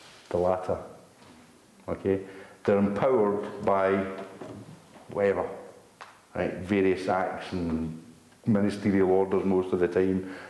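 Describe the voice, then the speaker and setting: A man with a very deep, low pitch speaks in very even loudness, leaving long, frequent pauses. Audible room echo and noticeable background noise surround him. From Scotland. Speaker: activist speaker. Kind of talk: public talk to an audience. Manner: fast; animated.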